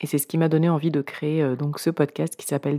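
A woman's voice, very deep and low in pitch with a dark, mellow tone, stays monotone and flat. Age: 40s. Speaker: podcast creator. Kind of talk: narration.

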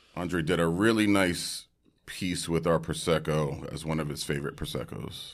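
Pitch variation is ordinary. The background is silent and the recording very clean. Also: man, very deep, low pitch for a man, moderate pace. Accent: New York. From Brooklyn, New York. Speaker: hip-hop producer and wine entrepreneur. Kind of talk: casual chat.

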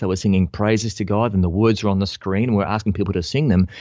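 A man with an Australian accent. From Melbourne, Australia. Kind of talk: casual interview.

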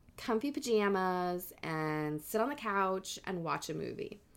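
A woman with an ordinary speaking voice and lively intonation at a fairly slow pace, on a very clean recording with a silent background. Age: 30s. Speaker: podcast co-host. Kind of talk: casual chat with storytelling.

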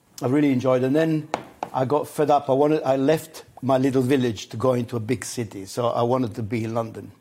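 A man with an Italian accent, medium in pitch, fairly even in intonation and very fast in pace, over noticeable background noise. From Italy, Adriatic coast. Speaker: celebrity chef. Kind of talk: casual chat over a meal.

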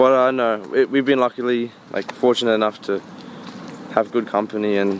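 With an Australian accent, a man talks at a fairly quick pace in a fairly even intonation over noticeable background noise. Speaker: musician. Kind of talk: casual interview.

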